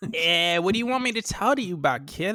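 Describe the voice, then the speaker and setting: Speaking at a fairly quick pace with an American accent, a man uses a raised, projected voice that sits high in pitch, with lively intonation, a bright, sharp tone and a dry, close sound with no echo. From Boston, Dominican family. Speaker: wrestling podcast co-host. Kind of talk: casual chat.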